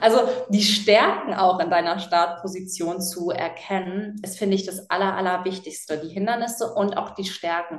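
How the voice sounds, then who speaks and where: Amid audible room echo and noticeable background noise, a woman speaks at a moderate pace and medium pitch, with fairly even intonation and big swings in loudness. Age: 20s. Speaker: animal welfare activist and author. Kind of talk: casual interview.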